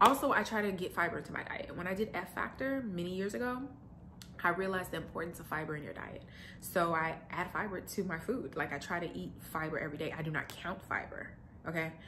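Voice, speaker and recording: Amid audible room echo, a woman talks very fast at a fairly low pitch, animated in tone with lively intonation. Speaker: lifestyle vlogger. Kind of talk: casual vlog monologue.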